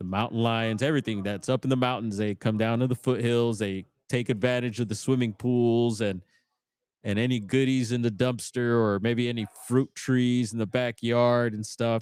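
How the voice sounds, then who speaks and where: Over a silent background on a very clean recording, a man speaks at medium pitch and a moderate pace in a flat monotone, with a dry, close sound and no echo. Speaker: bigfoot podcast host. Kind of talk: live stream commentary. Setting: in a smoke shop. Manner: casual, slangy.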